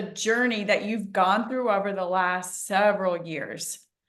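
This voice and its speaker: The voice has an animated tone. Audible room echo surrounds it. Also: woman. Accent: American. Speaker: interview show host. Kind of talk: interview.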